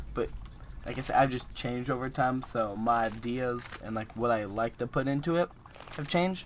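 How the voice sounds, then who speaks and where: Noticeable background noise can be heard. The pace stays moderate. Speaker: gaming YouTuber. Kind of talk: let's play commentary. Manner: casual, rambling with many fillers.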